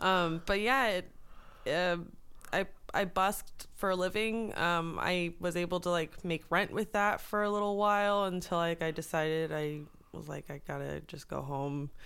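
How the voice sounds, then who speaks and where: With a normal speaking voice, a woman talks at a moderate pace and fairly low pitch, her pitch varying in an ordinary way. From US West Coast, Los Angeles area. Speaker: songwriter and producer. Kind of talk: casual interview chat.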